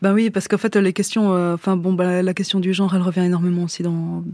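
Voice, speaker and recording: A dark, mellow tone delivers flat, monotone speech at a fairly quick pace on a very clean recording with a silent background. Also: woman. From French-speaking Switzerland. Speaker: singer-songwriter. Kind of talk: radio interview.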